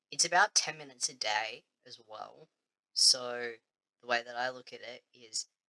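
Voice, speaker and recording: In a dry, close recording with no echo, a man with an Australian accent speaks in a fairly high, bright, sharp voice. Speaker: vlogger. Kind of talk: casual vlog chat.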